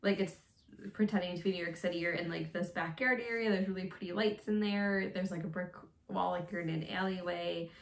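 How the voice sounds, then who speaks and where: Speaking very fast, a woman uses a medium pitch and fairly even intonation. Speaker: vlogger. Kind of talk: casual monologue vlog. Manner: casual, filler-heavy.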